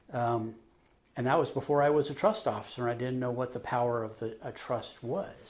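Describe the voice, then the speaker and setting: A man speaks at a fairly quick pace in an ordinary speaking voice. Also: medium pitch for a man, ordinary pitch variation. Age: 50s. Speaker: trust officer. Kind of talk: interview.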